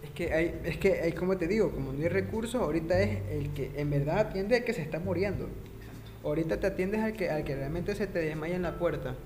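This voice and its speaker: A man speaks at a very fast pace with lively intonation and hardly any pauses. Noticeable background noise and audible room echo surround him. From Ecuador. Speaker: podcast host, economics student. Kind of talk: casual interview podcast. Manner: halting, many fillers.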